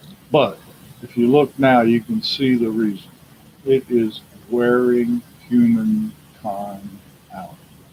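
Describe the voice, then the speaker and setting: Over noticeable background noise, a man of medium pitch speaks at a very slow pace with fairly even intonation, long, frequent pauses and big swings in loudness. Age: 70s. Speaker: retired prison worker giving religious talks. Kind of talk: casual religious monologue.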